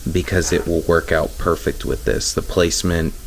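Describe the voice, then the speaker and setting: There's noticeable background noise behind a man's very deep, low voice. His intonation is fairly even. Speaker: RC crawler hobbyist YouTuber. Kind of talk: casual DIY tutorial. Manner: hesitant with fillers.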